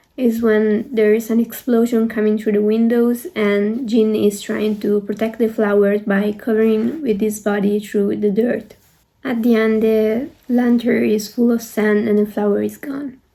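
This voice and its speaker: Fairly high in pitch yet dark and mellow in tone, a woman with a non-native accent talks at a fairly slow pace in a monotone, flat intonation. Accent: non-native English pronunciation. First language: not English. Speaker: art student and K-pop video creator. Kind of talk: video essay commentary. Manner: hesitant with fillers.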